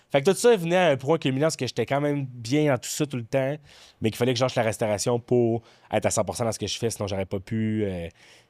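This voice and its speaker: A man's medium-pitched voice at a very fast pace with lively intonation, dry and close with no echo, on a very clean recording with a silent background. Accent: Quebec. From Quebec City area (Beauport). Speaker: comedian and former restaurant server. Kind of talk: casual podcast chat.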